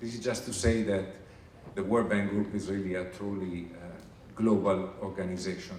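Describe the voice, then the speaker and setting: With an Italian accent, a man speaks at a moderate pace amid audible room echo and noticeable background noise. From Italy. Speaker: international finance organization staff presenter. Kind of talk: recruitment presentation. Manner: hesitant with fillers.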